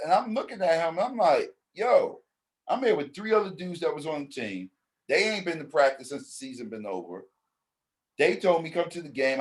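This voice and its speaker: An animated, high-pitched man with an American accent, fairly quick, with very wide pitch swings and big swings in loudness. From New York, the Bronx. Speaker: basketball league founder. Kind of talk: interview.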